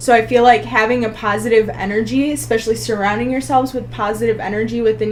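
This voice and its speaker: Noticeable background noise runs through the clip. A woman talks at a very fast pace. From US, child of Polish immigrants. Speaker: nuclear pharmacist. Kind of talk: casual interview chat.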